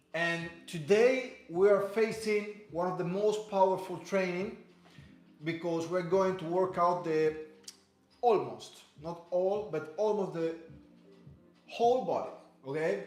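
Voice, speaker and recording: A man with a slight Spanish accent talks at a very slow pace in a high voice, his fairly even delivery broken by long, frequent pauses over noticeable background noise and audible room echo. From Cuba. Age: 30s. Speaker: fitness instructor. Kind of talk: live workout class. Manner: halting, many fillers and repeats.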